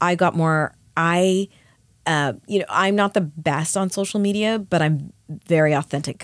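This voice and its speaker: A woman with a Canadian accent and an ordinary speaking voice talks at a moderate pace and fairly low pitch, her loudness very even, on a very clean recording with a silent background. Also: ordinary pitch variation. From Canada. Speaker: skincare company founder. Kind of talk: interview. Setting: studio.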